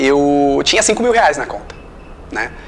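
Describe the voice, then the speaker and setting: Lively intonation carries this fairly slow delivery, with noticeable noise in the background. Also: man. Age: 30s. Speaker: interviewer. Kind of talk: interview.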